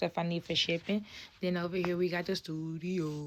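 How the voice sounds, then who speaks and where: A woman with a fairly low pitch speaks in an animated tone at a moderate pace. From Tennessee, Chattanooga. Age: 20s. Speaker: crochet content creator. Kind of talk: tutorial. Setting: home studio.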